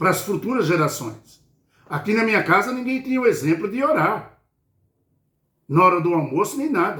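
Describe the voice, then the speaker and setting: A man speaks at a moderate pace in a high, bright, sharp voice. His pitch swings very widely. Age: 60s. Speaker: lay preacher. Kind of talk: bible study sermon. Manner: informal, repetitive fillers.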